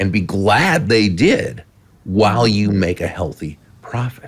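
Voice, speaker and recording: A man speaks in a plain, everyday voice, fairly low in pitch, with lively intonation. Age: 60s. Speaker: author and former sales speaker. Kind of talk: interview on a business podcast.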